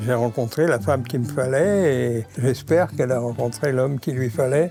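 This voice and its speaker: Music can be heard behind the voice. A man talks at a medium pitch. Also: ordinary pitch variation, moderate pace. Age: old. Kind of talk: interview answer. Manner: humorous.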